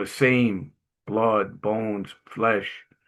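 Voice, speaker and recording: A man's medium-pitched voice with a Brooklyn accent. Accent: New York (Brooklyn). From Brooklyn, New York. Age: 60s. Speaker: Navy veteran and inspirational speaker. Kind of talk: testimony. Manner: casual storytelling with hesitations.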